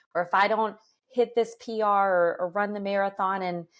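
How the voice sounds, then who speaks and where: A woman with an enthusiastic tone, medium pitch and ordinary pitch variation on a very clean recording with a silent background. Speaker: podcast host; runner. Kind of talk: podcast interview talk.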